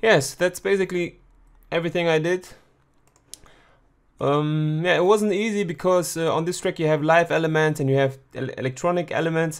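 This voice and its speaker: A man with a German accent, high-pitched, at a moderate pace with long, frequent pauses and ordinary pitch variation, on a very clean recording with a silent background. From Germany. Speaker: music producer. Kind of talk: tutorial. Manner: halting.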